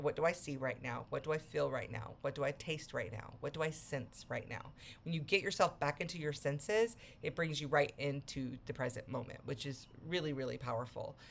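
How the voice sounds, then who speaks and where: Talking at a fairly quick pace, a woman with a very deep, low pitch uses lively intonation. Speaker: self-help coach. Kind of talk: motivational talk. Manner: fast; casual, conversational.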